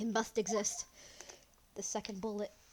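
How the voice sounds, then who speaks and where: A strained, female-sounding put-on character voice, fairly high in pitch, moves at a moderate pace. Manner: strained character voice.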